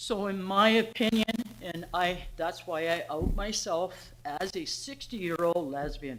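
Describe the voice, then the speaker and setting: In a recording with audible room echo, a woman talks at a fairly slow pace with medium pitch and ordinary pitch variation. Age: 60s. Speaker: member of the public at council meeting. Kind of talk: public comment. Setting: council meeting. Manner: halting.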